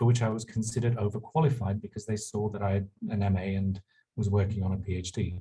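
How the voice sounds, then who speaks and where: Somewhat breathy with a dark, mellow tone, the speaker talks at a very fast pace in a London accent. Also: man. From England, London. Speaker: university administrator. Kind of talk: panel talk.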